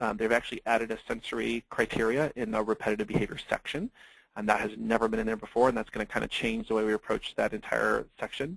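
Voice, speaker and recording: A man at medium pitch with vocal fry, a very fast pace, and fairly even intonation, in dry, close sound with no echo. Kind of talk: webinar lecture. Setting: online webinar with slides. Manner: casual with many fillers.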